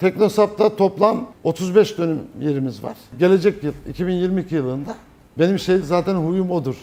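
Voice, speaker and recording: The man's dark, mellow tone carries at a moderate speed. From Turkey, Çankırı. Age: 60s. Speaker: business owner. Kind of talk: interview testimony.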